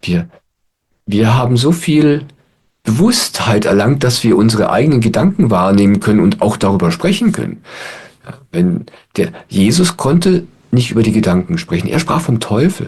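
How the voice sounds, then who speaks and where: A man at medium pitch, somewhat breathy, with very wide pitch swings, a moderate pace, long, frequent pauses and very even loudness. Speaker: spiritual teacher. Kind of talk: satsang talk to audience. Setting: online video call. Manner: calm, reflective.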